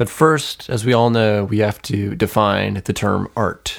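A man speaks in an ordinary speaking voice with a fairly low pitch. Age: young. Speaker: podcast co-host. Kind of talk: casual chat.

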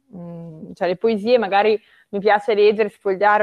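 A woman's voice at medium pitch. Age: 20s. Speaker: literature student. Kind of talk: casual chat.

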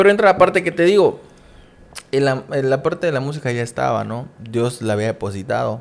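A man talks at a fairly quick pace in a plain, everyday voice of medium pitch. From Mexico, Coatzacoalcos, Veracruz. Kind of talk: casual interview chat.

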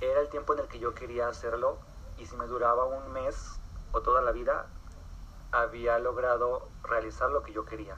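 A man holds a moderate pace while noticeable background noise carries on behind him. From Mexico, Torreón, Coahuila. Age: 20s. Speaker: dancer and actor. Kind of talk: interview. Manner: halting, many repetitions and fillers.

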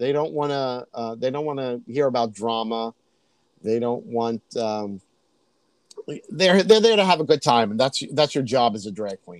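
Speaking with an American accent, a man with an unremarkable speaking voice talks at a moderate pace with lively intonation and big swings in loudness, the sound dry and close with no echo. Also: medium pitch for a man. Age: 50s. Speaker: drag queen. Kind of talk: casual chat.

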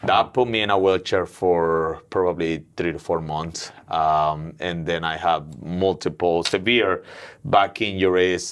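A man with a Mexican accent speaks in a very deep, low pitch. His pace is fairly slow and his intonation fairly even. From Mexico City. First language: Spanish. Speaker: gym owner and businessman. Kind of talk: casual interview.

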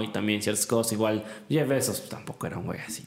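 Over music in the background, a man talks at a fairly quick pace with a medium pitch. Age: 20s. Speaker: podcast host and university student. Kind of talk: casual chat.

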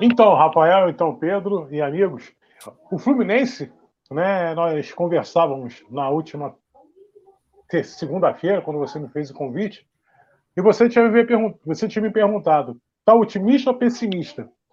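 Delivered at a fairly slow pace, the speech has lively intonation, long, frequent pauses and big swings in loudness. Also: man, high pitch for a man. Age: 50s. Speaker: sports journalist. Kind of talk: casual chat.

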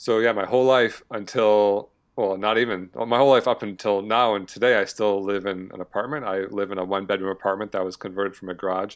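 Very fast, fairly even speech in an American accent with hardly any pauses against a quiet background. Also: man, fairly low pitch for a man. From Michigan, US Midwest. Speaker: personal finance influencer, early retiree. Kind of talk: casual interview.

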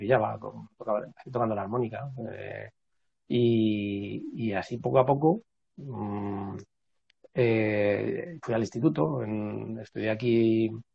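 Speaking at a very slow pace, a man with a fairly low, somewhat breathy voice shows big swings in loudness. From Madrid, Spain. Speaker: traditional music researcher and musician. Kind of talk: casual interview. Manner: halting.

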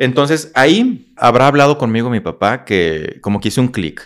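A man talks at a moderate pace with a medium pitch. He has an unremarkable speaking voice. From northern Mexico, Coahuila. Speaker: motivational speaker and psychologist. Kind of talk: casual interview storytelling.

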